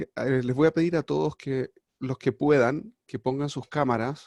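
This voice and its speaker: A man's dark, mellow voice with a Chilean accent, medium pitch and ordinary pitch variation, in a dry, close sound with no echo. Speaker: rabbi and teacher. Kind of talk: lecture. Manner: hesitant, many fillers.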